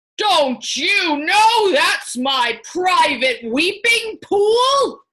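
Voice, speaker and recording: Putting on a character voice, a woman speaks at a very slow pace in an extremely high pitch with very wide pitch swings. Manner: angry.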